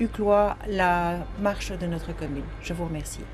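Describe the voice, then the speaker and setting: A woman's voice with noticeable background noise. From Belgium, Brussels (Uccle). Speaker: citizen interviewee. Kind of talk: vox pop testimony. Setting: mobile studio truck at a market.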